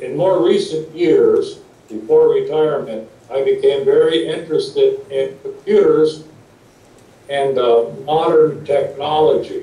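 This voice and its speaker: Over noticeable background noise and audible room echo, a man with an American accent talks at a fairly slow pace. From US Midwest, Wisconsin. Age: 60s. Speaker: retired teacher and guidance counselor. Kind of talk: interview talk, paused for interpreter.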